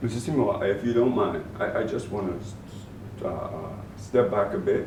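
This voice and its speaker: Over noticeable background noise and audible room echo, a man with a Bahamian accent speaks at a moderate pace with lively intonation. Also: medium pitch for a man. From Bahamas (Grand Bahama), born in Turks and Caicos. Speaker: former public agency director and youth mentor. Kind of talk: interview. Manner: halting, many repeated words.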